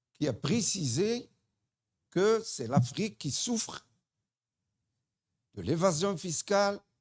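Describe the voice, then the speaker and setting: A man's very slow delivery with very wide pitch swings, on a very clean recording with a silent background. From Morocco. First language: Tamazight (speaking French). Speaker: human rights association representative. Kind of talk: audience question at conference. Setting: conference hall.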